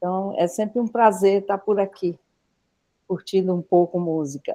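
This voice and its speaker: A woman's dark, mellow voice moves at a moderate pace with fairly even intonation. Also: medium pitch for a woman. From Fortaleza, Brazil. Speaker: choir conductor. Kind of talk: casual group chat.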